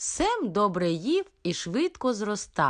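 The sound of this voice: What comes through is an unforced reading voice.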